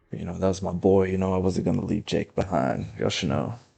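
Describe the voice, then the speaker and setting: A man speaks with vocal fry in a dark, mellow tone. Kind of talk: casual gameplay commentary.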